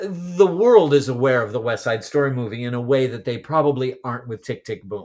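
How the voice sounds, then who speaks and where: A man with an American accent and an ordinary speaking voice, lively intonation and a moderate pace, in a very clean recording with a silent background. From California. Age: 50s. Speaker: podcast co-host, stage actor. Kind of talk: casual chat.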